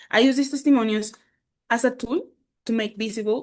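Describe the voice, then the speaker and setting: A woman speaks with a Colombian accent. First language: Spanish. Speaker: English teacher. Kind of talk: conference presentation. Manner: halting.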